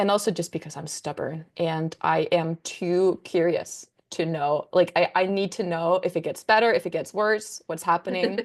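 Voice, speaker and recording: A woman with a Danish accent talks at a moderate pace with hardly any pauses. Her pitch is fairly low and her intonation fairly even. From Denmark. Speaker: content creator. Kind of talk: casual chat. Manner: hesitant, many fillers.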